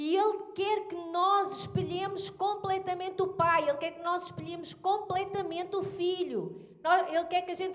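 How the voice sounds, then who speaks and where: In a European Portuguese accent, a woman speaks at an extremely high pitch and a moderate pace with monotone, flat intonation and hardly any pauses. Her loudness swings widely, and the room echo is audible. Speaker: pastor. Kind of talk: sermon.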